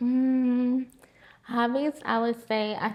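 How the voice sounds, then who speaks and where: A woman speaks with an American accent. Noticeable background noise runs underneath. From Florida (West Palm Beach, Winter Haven). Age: 20s. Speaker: registered nurse. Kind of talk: casual interview.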